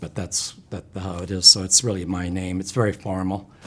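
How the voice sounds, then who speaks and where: A man speaks in a very deep, low pitch, somewhat breathy. He has a Canadian accent. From Ontario, Canada (Brantford area). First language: home sign (raised by deaf parents). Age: 70s. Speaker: cancer patient. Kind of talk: interview testimony. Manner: halting, many fillers; gentle, reserved.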